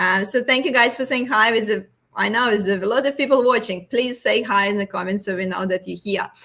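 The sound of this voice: A woman speaks at a medium pitch with ordinary pitch variation and a fairly bright tone. Her pace is fairly quick.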